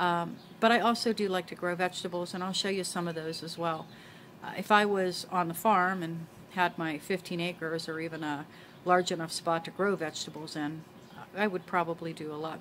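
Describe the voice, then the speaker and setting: Over light background noise, a woman with a normal speaking voice and a fairly low pitch talks at a fairly quick pace with fairly even intonation. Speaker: homesteading vlogger. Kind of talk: casual vlog chat. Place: garden. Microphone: phone near.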